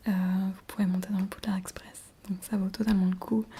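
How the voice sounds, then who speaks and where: Soft-spoken and flat in intonation, a woman talks at medium pitch and a moderate pace against noticeable background noise. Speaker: ASMR creator. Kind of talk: ASMR roleplay as shop seller. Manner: hesitant, many fillers.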